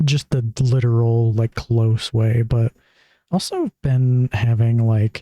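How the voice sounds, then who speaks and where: A man's medium-pitched, somewhat breathy voice with a dark, mellow tone, very even loudness, fairly even intonation and a very slow pace, in a dry, close sound with no echo. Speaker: streamer. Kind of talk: casual chat. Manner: monotone; hesitant, lots of fillers.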